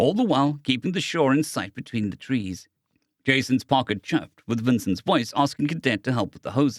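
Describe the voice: Over a quiet background, the text is given a plain reading aloud.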